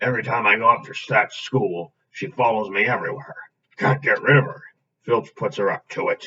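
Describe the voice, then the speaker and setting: Using a raspy, put-on character voice at medium pitch, a man speaks at a moderate pace with big swings in loudness. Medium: read story. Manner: gruff, homely.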